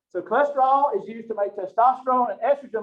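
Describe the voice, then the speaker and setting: A man talks very fast with a Southern US accent. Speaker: professor. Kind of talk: lecture. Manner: animated.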